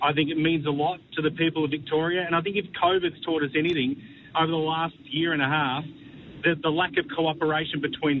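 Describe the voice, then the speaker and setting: Fairly high-pitched, a man with an Australian accent talks at a fairly quick pace. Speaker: football pundit. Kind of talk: radio panel discussion.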